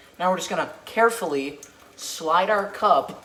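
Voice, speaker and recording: Moderate pace over noticeable background noise. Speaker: comedy YouTuber. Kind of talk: parody tutorial. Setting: home kitchen. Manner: hesitant, filler-heavy; soft-spoken.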